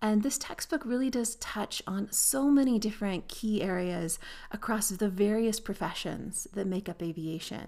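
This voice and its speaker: A woman speaks in a Canadian accent with a dark, mellow tone. Her pitch varies in an ordinary way. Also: medium pitch for a woman, moderate pace, hardly any pauses. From Canada. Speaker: aviation professor and textbook author. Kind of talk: educational monologue.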